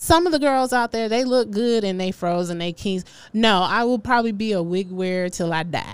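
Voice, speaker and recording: On a very clean recording with a silent background, a woman speaks in an animated tone with lively intonation at a moderate pace. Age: 40s. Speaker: podcast host. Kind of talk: casual chat.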